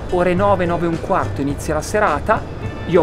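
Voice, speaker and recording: A man talks at a fairly quick pace while clear music plays in the background. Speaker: open mic host. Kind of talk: interview answer. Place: garden.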